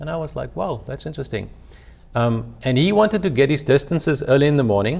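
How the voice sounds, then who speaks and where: With a South African accent, a man talks at a very fast pace in a fairly high pitch, his intonation lively and marked by vocal fry. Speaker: company founder and CEO. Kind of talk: webinar presentation, storytelling. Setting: live webinar.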